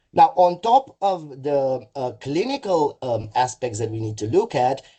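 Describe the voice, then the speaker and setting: The voice is somewhat breathy and carries a Romanian accent. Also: man. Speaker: mental health services executive. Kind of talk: webinar presentation. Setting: online webinar. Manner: halting, frequent fillers.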